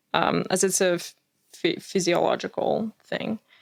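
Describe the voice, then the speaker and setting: A non-native accent marks this woman's speech. Her voice sounds dry and close, without any echo. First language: not English. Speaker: podcast co-host. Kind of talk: casual chat.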